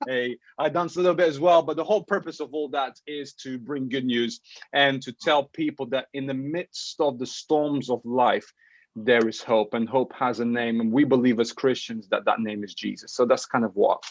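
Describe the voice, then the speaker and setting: With a Portuguese accent, a man talks at a moderate pace and medium pitch in an animated tone with ordinary pitch variation, the sound dry and close with no echo and the background quiet. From Portugal. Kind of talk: casual interview.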